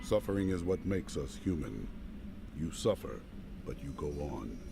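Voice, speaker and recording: A man in a put-on character voice at a moderate pace, with loud background noise. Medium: video game. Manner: calm, resolute.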